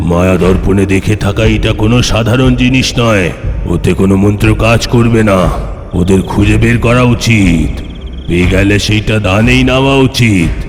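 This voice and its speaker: A man does a cartoonish character voice at a fairly low pitch and fairly slow pace. His loudness stays very even, with clear background noise. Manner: cunning, commanding.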